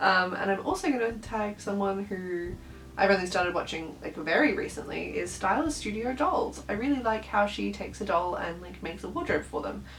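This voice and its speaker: A woman speaks at medium pitch with an Australian accent and very wide pitch swings. Music plays in the background, and room echo is audible. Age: adult. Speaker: doll collector YouTuber. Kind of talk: casual vlog chat. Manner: animated.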